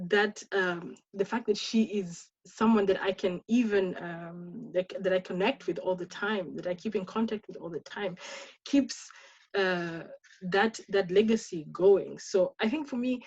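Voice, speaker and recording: A woman speaks at a fairly slow pace with a somewhat breathy voice and ordinary pitch variation. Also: medium pitch for a woman. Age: 30s. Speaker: webinar panelist. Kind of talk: panel discussion. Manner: halting, many repetitions.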